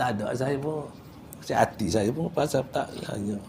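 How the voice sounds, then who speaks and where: A man speaks over noticeable background noise. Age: 70s. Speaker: Quran recitation teacher. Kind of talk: religious class lecture. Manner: casual, halting with repetitions.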